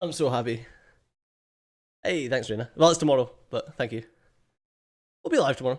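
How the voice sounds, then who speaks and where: In a Scottish accent, a man speaks at medium pitch and a fairly quick pace in an animated tone, with ordinary pitch variation and long, frequent pauses. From Scotland. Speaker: gaming streamer. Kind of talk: live stream chat. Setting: home office. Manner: casual, animated.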